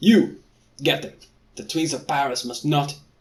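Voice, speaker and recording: A man does a guttural, put-on character voice at a fairly high pitch. He talks at a moderate pace with ordinary pitch variation. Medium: read story. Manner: barking orders.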